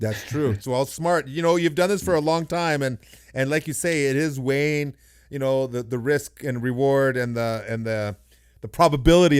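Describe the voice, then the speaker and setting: A man's excited, animated tone at a medium pitch with ordinary pitch variation. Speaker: podcast host. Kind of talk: casual interview chat. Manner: fast.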